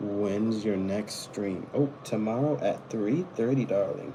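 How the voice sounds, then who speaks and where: A man speaking at a very slow pace, with noticeable background noise and audible room echo. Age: 20s. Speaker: live streamer. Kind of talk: casual chat. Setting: live stream.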